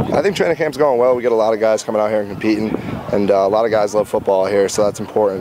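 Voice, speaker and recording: Over noticeable background noise, a man talks at a very fast pace. His voice is fairly low, with ordinary pitch variation. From Rhode Island, Warwick. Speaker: college football quarterback. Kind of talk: interview. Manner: hesitant, many fillers.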